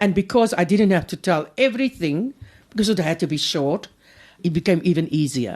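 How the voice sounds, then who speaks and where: A woman's fairly low voice with a South African accent and lively intonation against a quiet background. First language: Afrikaans. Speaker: author and poet. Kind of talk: interview. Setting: hotel room.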